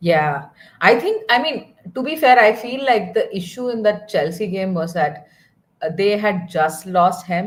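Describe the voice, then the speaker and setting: Somewhat breathy, this voice moves at a fairly slow pace with a Tamil accent. Its intonation is lively. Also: woman, medium pitch for a woman. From southern India (Kerala). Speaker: football watchalong co-host. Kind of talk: casual chat.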